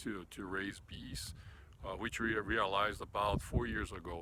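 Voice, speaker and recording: Bright and sharp in tone, a man talks at a moderate pace. He has a Brazilian accent. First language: Portuguese. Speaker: hobby beekeeper. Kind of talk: casual video tour. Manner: halting, many fillers.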